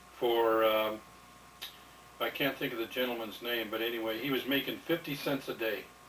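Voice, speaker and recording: Over noticeable background noise, a man at medium pitch talks at a moderate pace with fairly even intonation. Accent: American. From Nebraska. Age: 60s. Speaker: war veteran. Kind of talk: oral history interview. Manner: halting.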